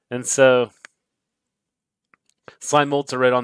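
At a moderate pace, a man speaks against a quiet background, the sound dry with no echo. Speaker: somatic educator streaming. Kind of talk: lecture. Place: home room.

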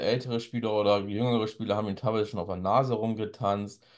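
Quiet surroundings behind a male voice. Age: 40s. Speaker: football YouTuber and author; football YouTuber. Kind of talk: solo commentary with read-aloud articles. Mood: critical, conversational. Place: home room.

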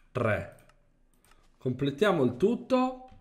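A man is speaking. His pitch swings very widely. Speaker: gaming youtuber. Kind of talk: gameplay commentary. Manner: animated.

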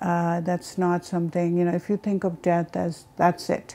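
A woman speaks with a dark, mellow tone. Her pitch is fairly low. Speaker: interviewee. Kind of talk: interview testimony. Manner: halting, many fillers. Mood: calm, reflective. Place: home room. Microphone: lapel.

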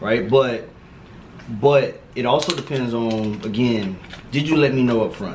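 A man with an American accent at a fairly slow pace, with ordinary pitch variation, long, frequent pauses and light background noise. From Miami, Florida. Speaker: medical student; guest. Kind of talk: casual chat while eating.

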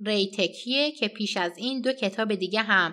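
The recording is very clean, with a silent background. A woman speaks at a fairly high pitch in a bright, sharp tone. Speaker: political news commentator. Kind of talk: news commentary.

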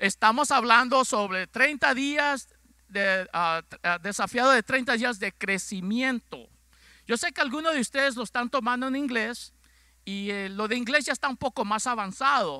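The raised, projected voice has a bright, sharp tone and ordinary pitch variation, moving at a fairly slow pace with a dry sound with no echo over a quiet background. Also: man, extremely high pitch for a man. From Ecuador. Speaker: pastor. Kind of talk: sermon. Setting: church. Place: church. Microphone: handheld.

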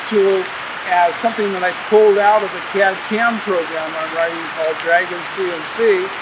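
Moderate-paced speech over noticeable background noise. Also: man. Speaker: interview guest. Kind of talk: interview answer. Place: waterside.

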